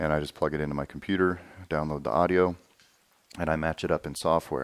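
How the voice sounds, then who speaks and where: Speaking at a very fast pace, a man uses a very deep, low pitch and fairly even intonation. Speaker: holster maker and video tutorial host. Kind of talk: tutorial. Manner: monotone.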